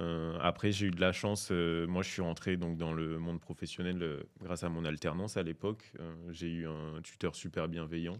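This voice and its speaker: A man's very deep, low voice with monotone, flat intonation at a moderate pace, on a very clean recording with a silent background. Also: hardly any pauses. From French Antilles. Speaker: podcast guest. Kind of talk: casual chat. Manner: hesitant, many fillers.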